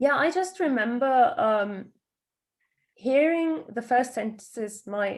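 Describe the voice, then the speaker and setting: A woman speaks in a British accent. Her intonation is lively. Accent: posh British English. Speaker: podcast co-host. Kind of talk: casual chat.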